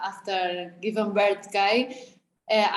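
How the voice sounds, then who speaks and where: A woman's very slow, monotone, flat delivery in a Spanish accent. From Spain. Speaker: athlete and mother. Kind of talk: interview. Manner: halting.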